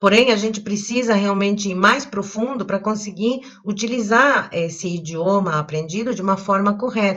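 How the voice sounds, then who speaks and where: At a moderate pace, a woman of medium pitch speaks with hardly any pauses and ordinary pitch variation. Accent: São Paulo. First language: Spanish (speaking Portuguese). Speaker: language teacher. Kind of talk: video lesson.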